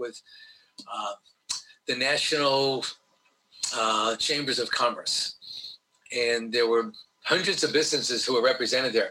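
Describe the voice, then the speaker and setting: Speaking with a New York accent, a man keeps a moderate pace. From New York (Brooklyn, Long Island). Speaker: diversity trainer, retired teacher. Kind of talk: interview.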